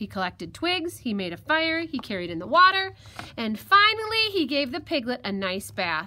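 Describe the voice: This is plain reading aloud. Nothing more stands out in the delivery.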